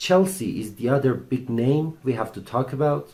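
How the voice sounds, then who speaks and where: This man has a dark, mellow tone that is somewhat breathy. He speaks at a moderate pace. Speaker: football channel host. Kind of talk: casual commentary monologue. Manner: halting, repeats himself.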